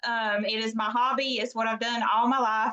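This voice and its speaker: A woman's fairly high, bright and sharp voice with a Southern US accent, moderate pace and flat, monotone intonation. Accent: Southern US (Georgia). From US South, Baxley, Georgia. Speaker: direct sales leader. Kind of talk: guest talk on training call.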